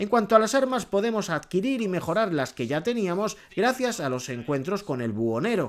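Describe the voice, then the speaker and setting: The speaker talks at a moderate pace with a Castilian accent. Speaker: video game journalist. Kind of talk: scripted narration.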